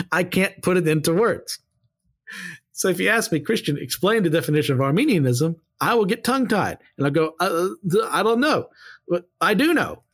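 Speaking at a fairly quick pace with an American accent, a man uses a high pitch and very wide pitch swings on a very clean recording with a silent background. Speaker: podcast host, seminary student. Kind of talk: bible study commentary. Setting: home recording, plane audible outside. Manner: halting, gets tongue-tied.

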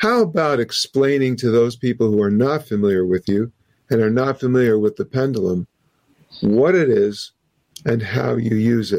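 A man speaks at medium pitch and a moderate pace in an ordinary speaking voice, his loudness very even and the sound dry and close with no echo. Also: ordinary pitch variation. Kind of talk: interview. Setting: video call.

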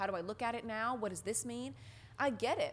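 With an American accent and some vocal fry, a woman speaks at a moderate pace. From US South. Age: 20s. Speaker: podcast host, religion researcher. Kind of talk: casual chat.

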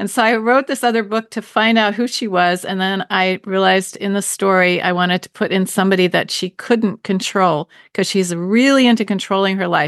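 A woman with an American accent and a plain, everyday voice, medium pitch and ordinary pitch variation, at a fairly quick pace with hardly any pauses, in a dry, close sound with no echo and a quiet background. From US, Baltimore, Maryland. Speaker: novelist. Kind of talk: interview.

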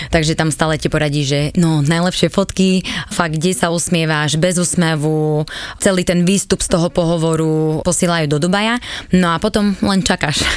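Here is a woman with an ordinary speaking voice and a fairly low pitch. She keeps a moderate pace, fairly even intonation and very even loudness. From eastern Slovakia, Svidník area. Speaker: former flight attendant. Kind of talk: casual interview.

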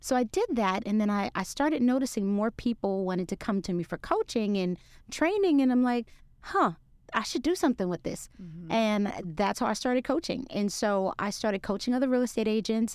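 In a very clean recording with a silent background, a woman with an American accent uses a plain, everyday voice at fairly high pitch, talking at a fairly quick pace with lively intonation. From Brooklyn, New York. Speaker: realtor and business coach. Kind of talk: podcast interview.

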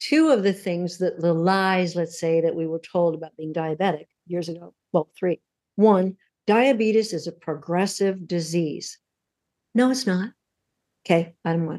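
Pausing long and often, a woman speaks at a fairly low pitch in a dark, mellow tone. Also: ordinary pitch variation, moderate pace. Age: 70s. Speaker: author and former diabetic. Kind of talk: podcast interview.

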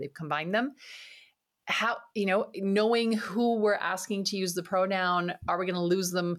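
Here a woman speaks in a French accent at medium pitch with ordinary pitch variation. The recording is very clean, with a silent background. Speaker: podcast host, marketing coach. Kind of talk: interview conversation. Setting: home office.

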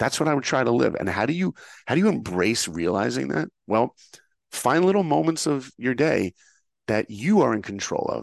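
A medium-pitched man with an American accent speaks at a moderate pace, his voice showing vocal fry and very wide pitch swings. The sound is dry and close with no echo, over a quiet background. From US, New York. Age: 50s. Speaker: filmmaker and motivational speaker. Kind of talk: interview, storytelling. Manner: animated.

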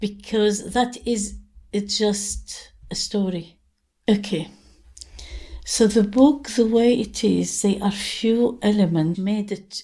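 A dark, mellow, somewhat breathy voice at a very slow pace with fairly even intonation. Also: woman, medium pitch for a woman. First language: Arabic. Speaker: memoir author. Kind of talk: interview with readings of her own work.

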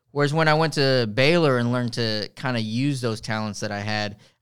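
With an American accent and a plain, everyday voice, a man speaks at a fairly quick pace, his medium pitch showing ordinary pitch variation. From Texas, Rio Grande Valley (Harlingen). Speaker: lawyer. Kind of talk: interview conversation.

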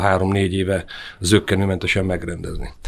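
Talking at a very fast pace, a man speaks with a very deep, low pitch. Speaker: ski federation youth coordinator. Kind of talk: interview. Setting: studio. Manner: smiling.

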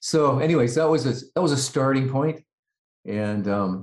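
Very wide pitch swings mark this voice with a western Canadian accent, on a very clean recording with a silent background. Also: man. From Canada, Vancouver area. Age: 60s. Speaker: rock keyboardist. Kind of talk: interview.

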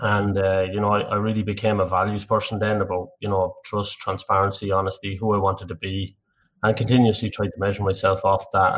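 In an Irish Midlands accent, a man talks at a fairly quick pace with a somewhat breathy, monotone, flat delivery. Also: very clean recording, silent background. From Ireland, Tullamore (County Offaly). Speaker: energy industry director. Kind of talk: podcast interview. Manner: halting.

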